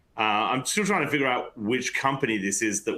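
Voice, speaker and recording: With an Australian accent, a man speaks in a bright, sharp tone. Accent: quite Australian. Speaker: panelist. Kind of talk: panel discussion webinar.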